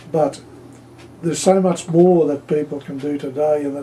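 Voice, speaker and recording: With noticeable background noise, a man speaks at a moderate pace with fairly high pitch and ordinary pitch variation. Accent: Australian. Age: 70s. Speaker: pigeon racer. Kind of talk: interview.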